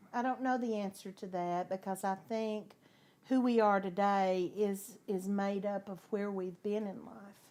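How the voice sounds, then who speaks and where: A woman with an Arkansas accent speaks fairly slowly in a medium-pitched, dark, mellow voice with monotone, flat intonation. Her loudness swings a lot, and the recording is very clean with a silent background. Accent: Southern US (Arkansas). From US South. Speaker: interviewee sharing life story. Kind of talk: talk show interview.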